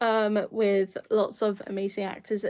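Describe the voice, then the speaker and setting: A woman speaks with a British accent at medium pitch. She goes at a fairly slow pace against a quiet background. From Britain. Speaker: YouTuber. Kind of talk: casual vlog review. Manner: halting, many fillers.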